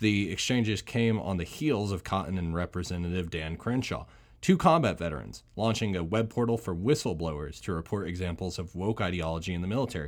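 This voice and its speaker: A man speaks in a very deep, low pitch. His pace is fairly quick. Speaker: podcast host, military veteran. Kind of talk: casual solo podcast monologue. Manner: hesitant, many fillers and repeats.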